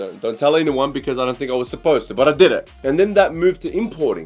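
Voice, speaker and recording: With an Australian accent, a man with fairly high pitch talks at a very fast pace. His intonation is lively, and music plays in the background. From Australia, west Melbourne (Altona). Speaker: entrepreneur, online creator. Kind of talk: personal story to camera.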